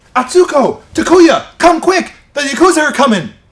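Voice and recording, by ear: High-pitched, put-on character voice delivered at a moderate pace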